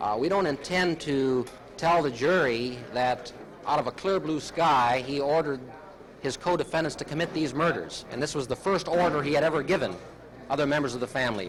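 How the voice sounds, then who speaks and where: A man's speech, fairly quick and with ordinary pitch variation, is heard against noticeable background noise. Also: fairly high pitch for a man. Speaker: prosecutor. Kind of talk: press statement on a trial.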